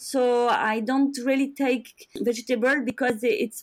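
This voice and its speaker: A woman speaks with a French accent in a high voice. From France. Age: 40s. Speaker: professional endurance athlete. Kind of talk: interview.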